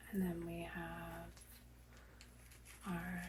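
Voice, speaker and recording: Soft-spoken words at a very slow pace over noticeable background noise. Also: woman. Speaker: reiki practitioner. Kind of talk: ASMR reiki session.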